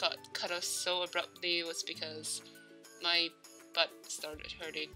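With music in the background, a woman speaks at a medium pitch. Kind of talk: casual gameplay commentary. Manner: rambling, hesitant.

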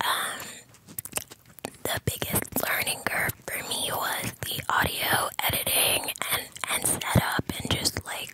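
A woman whispers at a slow pace.

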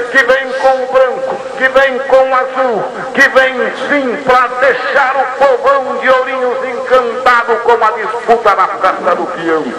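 The speaker uses a raised, projected voice at a very slow pace with fairly even intonation. Background noise is noticeable. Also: man, extremely high pitch for a man. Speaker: rodeo announcer. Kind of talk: rodeo arena announcing to a crowd. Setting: PA system in a rodeo arena. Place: stadium.

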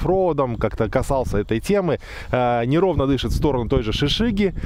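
There's a fairly quick pace and lively intonation from this man, recorded dry with no echo and light background noise. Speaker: car reviewer. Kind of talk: casual vlog commentary. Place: open country.

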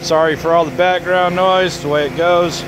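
At a moderate pace, the speech comes through dry with no echo but with noticeable background noise. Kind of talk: tutorial. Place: street.

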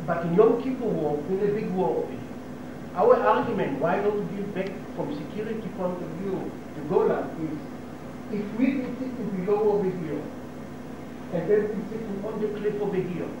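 A man with a high voice speaks amid noticeable background noise. There is strong room echo, and his pitch varies in an ordinary way. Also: moderate pace. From Israel. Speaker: local resident giving talk to tourists. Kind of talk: informal talk to tour group. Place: hall. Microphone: old recording.

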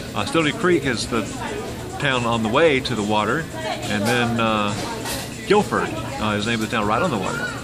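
Loud music plays in the background. Over it, a man talks at a moderate pace with ordinary pitch variation. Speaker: travel vlogger. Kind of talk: casual vlog chat. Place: cafe. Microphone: phone near.

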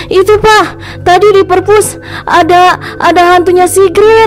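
A woman's put-on character voice at an extremely high pitch and a fairly slow pace, over clear background noise. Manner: frightened.

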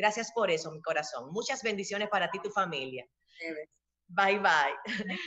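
With a quiet background, a woman talks at a moderate pace in an animated tone, her intonation lively and her loudness swinging widely. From Dominican Republic. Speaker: interviewer. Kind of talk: interview. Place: home room. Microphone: webcam.

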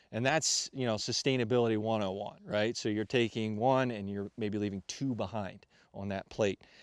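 In an ordinary speaking voice, a man talks at a moderate pace with fairly low pitch and fairly even intonation, the sound dry with no echo against a quiet background. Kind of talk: interview explanation. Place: forest. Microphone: lapel.

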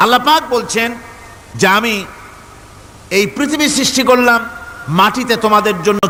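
Against noticeable background noise, a man with a high pitch uses a raised, projected voice and ordinary pitch variation. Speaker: Islamic preacher. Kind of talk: religious sermon to a live audience.

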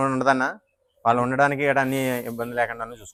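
The man's voice is monotone and flat, with a dry, close sound and no echo. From Andhra Pradesh, East Godavari. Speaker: dairy farmer. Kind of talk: interview.

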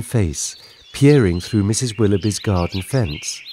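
In an English accent, a man speaks at a fairly low pitch with a soothing, gentle tone. His pace is fairly slow, and noticeable background noise is present. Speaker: bedtime story narrator. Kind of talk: scripted children's bedtime story narration. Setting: studio recording with sound effects and music. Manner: soothing, gentle and slow-paced, storyteller's warmth.

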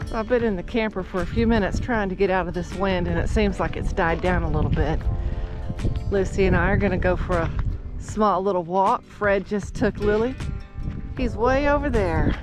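Clear music plays behind a woman who speaks at a fairly quick pace with ordinary pitch variation, the sound dry with no echo. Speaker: travel vlogger. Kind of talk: casual vlog chat. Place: open country. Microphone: phone near.

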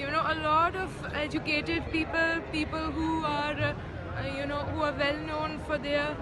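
Clear music in the background behind a woman's fairly slow pace. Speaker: vlogger. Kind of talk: casual vlog chat. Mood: cheerful, enthusiastic. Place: market. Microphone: phone near.

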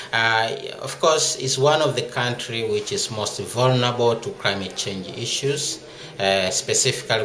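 Audible room echo over light background noise. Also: man. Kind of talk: interview answer. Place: hall. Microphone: phone near.

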